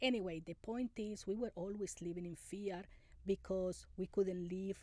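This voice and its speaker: A woman with a Spanish accent, fairly low in pitch, dark and mellow in tone, at a moderate pace with ordinary pitch variation. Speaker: immigrant interviewee. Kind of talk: interview. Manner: halting.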